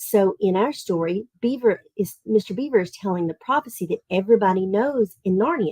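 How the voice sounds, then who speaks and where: Lively in intonation, a woman with a Southern Tennessee accent speaks at a medium pitch and moderate pace in a dark, mellow tone, with hardly any pauses and a dry, close sound with no echo. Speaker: online literature camp teacher. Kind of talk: online class for children.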